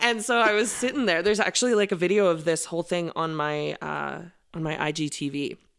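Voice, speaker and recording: With an Albertan accent, a woman talks at a fairly quick pace with lively intonation and a fairly low pitch. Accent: Canadian (Alberta). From Alberta, Canada (Okotoks). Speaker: country singer. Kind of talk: casual interview chat.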